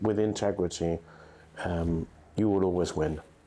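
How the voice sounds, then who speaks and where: A man's very deep, low voice, dark and mellow in tone, with monotone, flat intonation. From England. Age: 70s. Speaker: estate agent, company founder. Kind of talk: podcast interview. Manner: formal.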